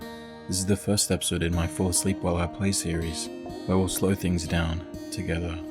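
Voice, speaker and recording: Music in the background behind a man's very deep, low voice, moderate in pace and monotone, flat in intonation. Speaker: streamer. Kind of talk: sleep-aid gameplay commentary. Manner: soft-spoken, gentle.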